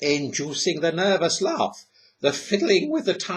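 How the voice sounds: Quiet surroundings behind a natural reading voice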